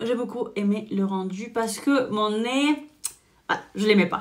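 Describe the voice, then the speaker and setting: Speaking at a fairly slow pace, a woman uses an animated tone, a fairly high pitch and ordinary pitch variation. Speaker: beauty vlogger and salon owner. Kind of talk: makeup tutorial with personal chat.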